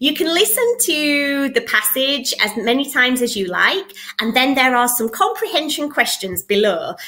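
In a British accent, a woman uses a raised, projected voice, high-pitched with a bright, sharp tone, very wide pitch swings and a fairly slow pace. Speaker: English teacher. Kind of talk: casual talk to camera. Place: home room. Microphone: webcam.

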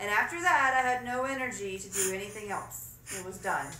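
With lively intonation and a fairly high pitch, a woman speaks at a moderate pace over light background noise and audible room echo. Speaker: vlogger. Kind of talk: angry rant, comic venting about a chore. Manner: laughs between bitter lines. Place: home room. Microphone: phone near.

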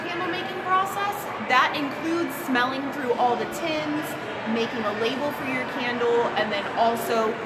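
A woman speaking at a moderate pace against loud background noise. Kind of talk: interview answer. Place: shop. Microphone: phone near.

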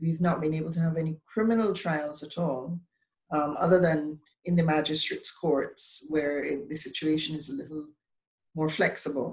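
A woman with a very deep, low pitch speaks at a moderate pace in a somewhat breathy voice. Her intonation stays fairly even over a quiet background. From Barbados. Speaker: bar association president, lawyer. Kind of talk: panel discussion. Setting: video call. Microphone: video call.

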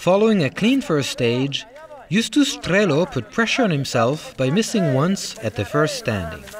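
Over noticeable background noise, a man speaks with a high pitch and very wide pitch swings. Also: moderate pace. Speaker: sports commentator. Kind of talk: sports commentary, scripted race recap narration. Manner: brisk, polished, measured; neutral, even-toned, informative.

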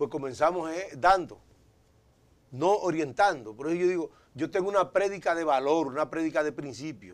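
A man at a moderate pace with ordinary pitch variation and long, frequent pauses. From Dominican Republic. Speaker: politician; politician guest. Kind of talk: interview. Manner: halting. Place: studio. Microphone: lapel.

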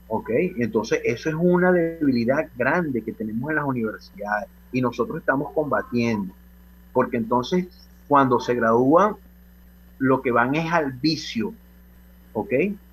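A man talks at a fairly slow pace with long, frequent pauses and a medium pitch. His intonation is lively, and his voice is somewhat breathy. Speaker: professional association president. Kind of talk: radio interview.

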